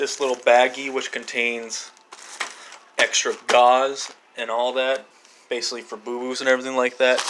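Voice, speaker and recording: A man speaks in a monotone, flat way, with long, frequent pauses over noticeable background noise. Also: medium pitch for a man, moderate pace. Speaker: emergency medical technician. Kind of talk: show-and-tell video. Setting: kitchen at home. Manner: halting.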